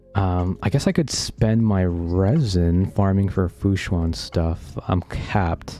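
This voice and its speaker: With a Bay Area accent, a man speaks very slowly in a very deep, low, dark and mellow voice, with ordinary pitch variation, very even loudness and hardly any pauses. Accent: American, Bay Area. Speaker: game streamer. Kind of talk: casual live stream chat.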